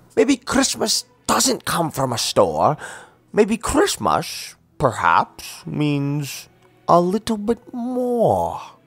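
A man's put-on growling character voice, high in pitch with very wide swings, at a very slow pace. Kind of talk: comic character acting in an audiobook. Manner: snarling, sneering, scheming.

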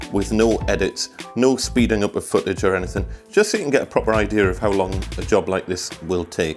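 As a man talks, faint background music can be heard. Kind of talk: tutorial. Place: home room.

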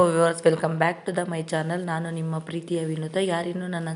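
A woman's fairly low voice comes out in a monotone, flat intonation. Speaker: vlogger. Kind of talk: vlog narration.

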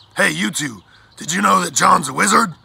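A man's put-on character voice with a bright, sharp tone, a husky, rough edge and vocal fry. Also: high pitch for a man, ordinary pitch variation, moderate pace.

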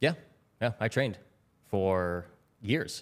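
The man's pitch sits fairly low. He talks at a fairly slow pace. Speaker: former Wall Street trader. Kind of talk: casual interview. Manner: repeats words when starting sentences. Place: studio. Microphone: studio mic.

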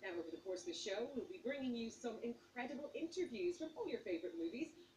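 Over noticeable background noise, a woman speaks in a high pitch with very wide pitch swings. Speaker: TV presenter. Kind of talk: TV presenting to camera. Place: street.

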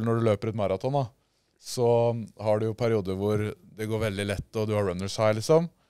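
Recorded dry with no echo against a quiet background, a man speaks with a fairly low pitch, a dark, mellow tone and fairly even intonation. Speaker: podcast host. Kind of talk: casual chat. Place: studio. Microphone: studio mic.

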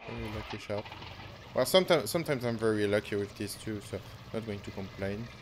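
Over noticeable background noise, a man with a French accent speaks at a very fast pace in a fairly low pitch, with ordinary pitch variation. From France. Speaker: gaming YouTuber. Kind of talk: live gameplay commentary. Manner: halting.

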